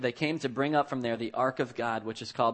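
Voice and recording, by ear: Natural voice reading out loud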